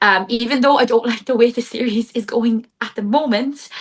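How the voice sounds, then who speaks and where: A woman with a Cork accent talks at a moderate pace. Her pitch is fairly high, with ordinary pitch variation. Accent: Irish (Cork), moderately strong. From Ireland, Cork. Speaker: book content creator and accountant. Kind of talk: casual interview chat. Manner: chatty, filler-heavy (like, um).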